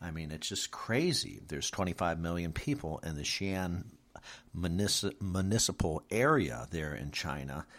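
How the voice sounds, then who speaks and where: A man with an American accent speaks at a moderate pace in a very deep, low pitch. His intonation is lively, and the recording is very clean with a silent background. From Michigan. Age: 50s. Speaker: podcast host. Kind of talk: news commentary monologue. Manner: animated; hesitant, many fillers.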